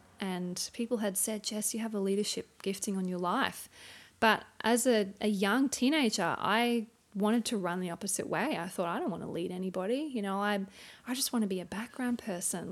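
A woman with an Australian accent speaks at a moderate pace in a medium pitch, with ordinary pitch variation. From Townsville, Queensland, Australia. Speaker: churchgoer and stay-at-home mum. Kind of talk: interview about personal testimony.

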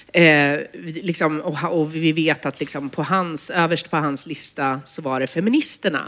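A woman speaks at a moderate pace in a very deep, low voice. Her pitch varies in an ordinary way. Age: 40s. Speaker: journalist and author. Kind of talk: public conversation. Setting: stage with audience.

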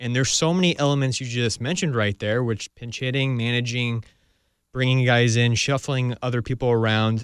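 A man with a plain, everyday voice talks at a fairly quick pace and fairly even intonation, recorded with a dry, close sound with no echo. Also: medium pitch for a man. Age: 20s. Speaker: baseball podcast host. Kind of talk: casual chat.

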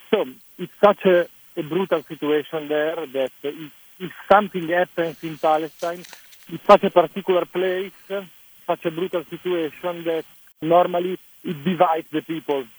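A high-pitched man in a dry, close sound with no echo. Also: big swings in loudness. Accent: Italian. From Italy. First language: Italian. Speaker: film director. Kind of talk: interview. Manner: halting.

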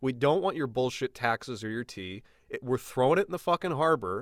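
A man with an American accent and an ordinary speaking voice talks at a moderate pace and medium pitch. His intonation is lively, with a dry, close sound with no echo. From Illinois. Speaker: podcast host. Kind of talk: casual chat. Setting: video call.

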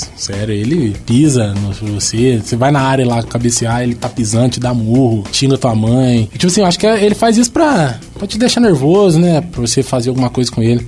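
Noticeable background noise accompanies a man who barely pauses as he talks. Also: medium pitch for a man, lively intonation, fairly quick pace. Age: 20s. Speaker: professional footballer. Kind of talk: casual chat.

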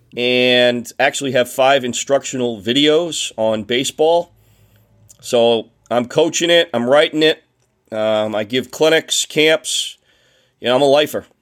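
On a very clean recording with a silent background and a dry, close sound with no echo, a man at medium pitch talks at a fairly slow pace with ordinary pitch variation. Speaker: baseball coach and historian. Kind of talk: casual interview.

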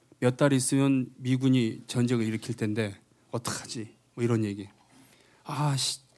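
A man's normal speaking voice, medium-pitched, with fairly even intonation and a fairly slow pace. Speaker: singer. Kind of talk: stage banter between songs. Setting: stage with audience. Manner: joking, self-deprecating.

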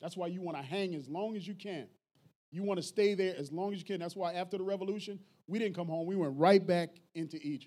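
With an American accent, this man has a high pitch, a dark, mellow tone, and a fairly quick pace. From US Northeast, North Philadelphia. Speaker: missionary and Navy veteran. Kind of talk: church talk. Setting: church with audience.

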